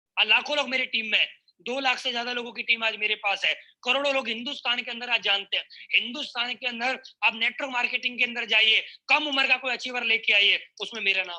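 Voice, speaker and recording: A man's extremely high, raised and projected voice, bright and sharp in tone, with fairly even intonation at a moderate pace. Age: 20s. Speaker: network marketing speaker. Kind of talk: motivational speech.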